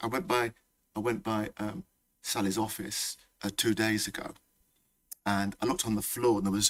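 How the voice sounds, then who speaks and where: Speaking with a Leicester accent, a man uses medium pitch and an animated tone, with long, frequent pauses. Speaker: college principal. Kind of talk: welcome speech. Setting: hall with live audience. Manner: animated, repetitive.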